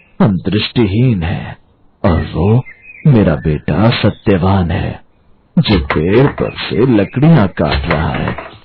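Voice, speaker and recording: Putting on a cartoonish character voice, a man speaks at a fairly slow pace, fairly low in pitch, with very wide pitch swings. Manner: dignified, resigned.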